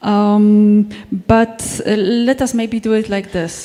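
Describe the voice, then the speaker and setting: Noticeable background noise sits behind a woman of medium pitch speaking in a monotone, flat intonation. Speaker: tech company speaker. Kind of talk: conference talk. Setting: stage with audience. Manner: halting.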